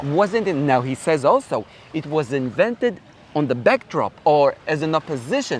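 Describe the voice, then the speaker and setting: Here a man speaks with a fairly high pitch. His pitch makes very wide swings. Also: moderate pace. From Israel. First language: Hebrew. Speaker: Bible professor. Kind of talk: interview answer.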